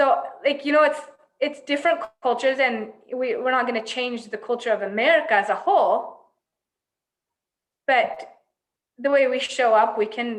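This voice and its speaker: This woman has a high pitch and a Finnish accent, with ordinary pitch variation. She talks at a moderate pace, broken by long, frequent pauses. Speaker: nutritional therapy practitioner. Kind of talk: casual interview conversation. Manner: hesitant, many fillers.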